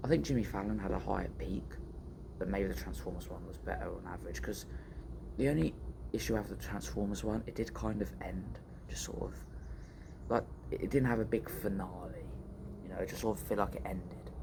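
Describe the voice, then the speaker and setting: A man talks at a fairly quick pace with a very deep, low pitch, vocal fry and a dark, mellow tone. His pitch swings very widely, with long, frequent pauses and audible room echo. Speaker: vlogger. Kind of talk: casual chat. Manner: animated. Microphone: too quiet.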